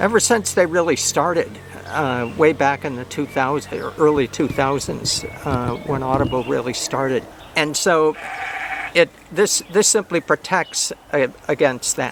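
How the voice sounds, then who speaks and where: A man talks at a fairly slow pace with a fairly high pitch and ordinary pitch variation, noticeable background noise behind him. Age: 70s. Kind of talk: casual talk to camera. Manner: halting, many fillers and repeats.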